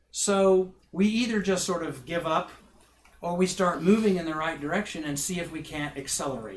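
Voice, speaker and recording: A man speaks at a moderate pace with a fairly high pitch and ordinary pitch variation. Noticeable background noise can be heard. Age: 60s. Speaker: minister and professor. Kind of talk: public talk Q&A.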